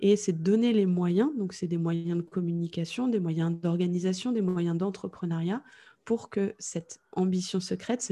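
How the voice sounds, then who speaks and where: In a fairly low, somewhat breathy voice with a dark, mellow tone, a woman speaks with fairly even intonation. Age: 30s. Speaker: entrepreneur in podcast communication. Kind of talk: interview. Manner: calm, composed.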